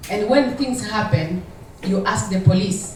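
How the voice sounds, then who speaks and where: Woman's medium-pitched voice with lively intonation, audible room echo and noticeable background noise. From Democratic Republic of the Congo. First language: French. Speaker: audience member asking a question. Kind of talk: audience question at panel. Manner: halting.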